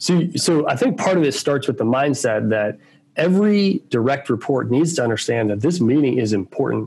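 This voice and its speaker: Using a plain, everyday voice, a man with a fairly high pitch talks at a moderate pace with very even loudness. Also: lively intonation. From Baltimore, Maryland, US. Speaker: tech sales executive. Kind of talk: interview.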